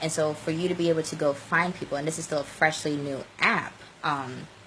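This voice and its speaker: A woman with a very deep, low voice talks at a fairly quick pace. Noticeable background noise runs under her speech. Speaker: social media coach. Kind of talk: live stream tutorial. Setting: live video stream. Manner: fast; animated.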